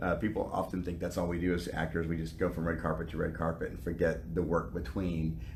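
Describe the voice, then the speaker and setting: Very fast speech in an American accent, with hardly any pauses, fairly even intonation, and audible room echo. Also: man, very deep, low pitch for a man. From US South. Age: 50s. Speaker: actor. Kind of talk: interview.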